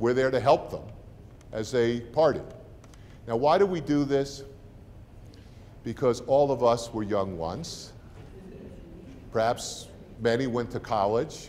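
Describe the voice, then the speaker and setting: A man speaks fairly slowly in a New Jersey accent. He leaves long, frequent pauses. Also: medium pitch for a man, ordinary pitch variation. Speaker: university president. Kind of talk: welcome talk to prospective students and parents. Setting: room with live audience. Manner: conversational, informal.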